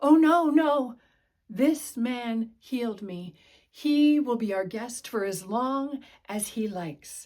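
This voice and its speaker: Putting on a whiny character voice, a woman speaks at a high pitch and a fairly slow pace. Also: lively intonation. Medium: read story.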